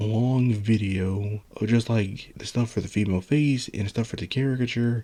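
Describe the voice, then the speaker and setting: The voice is soft-spoken with a dark, mellow tone. It moves at a moderate pace with hardly any pauses and fairly even intonation. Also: man. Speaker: solo video blogger. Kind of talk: casual monologue.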